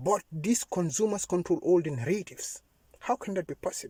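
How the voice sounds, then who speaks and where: In a dry, close sound with no echo, a man with a non-native accent speaks at a moderate pace with high pitch and lively intonation. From Africa. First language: not English. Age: young. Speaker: YouTuber, political commentator. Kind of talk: monologue, political appeal. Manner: impassioned.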